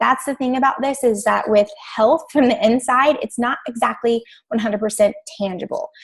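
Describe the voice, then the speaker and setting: Her pitch high and its variation ordinary, a woman speaks. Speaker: fitness and nutrition coach. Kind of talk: team training call. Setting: group call. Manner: fast.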